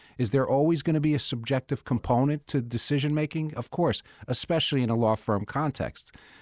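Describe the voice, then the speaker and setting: With an ordinary speaking voice, a man talks at a fairly quick pace with hardly any pauses, his fairly high pitch showing ordinary variation, in a dry, close sound with no echo and a very clean recording with a silent background. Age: 50s. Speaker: managing partner of a law firm. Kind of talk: casual chat. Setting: studio.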